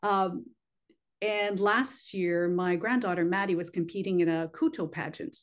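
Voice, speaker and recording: Speaking at a moderate pace, a woman uses a plain, everyday voice at medium pitch with ordinary pitch variation. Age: 60s. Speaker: pageant organization president. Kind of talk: interview.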